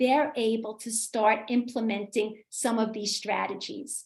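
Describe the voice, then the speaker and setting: A woman talks with a New York accent. Her pace is fairly slow. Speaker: literacy coach and author. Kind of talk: community talk with Q&A.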